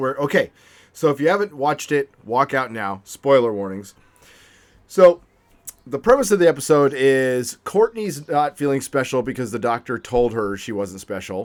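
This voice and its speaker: This man's voice sits at a medium pitch with lively intonation. He talks at a moderate pace. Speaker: podcast host. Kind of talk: casual chat. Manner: loud, excitable.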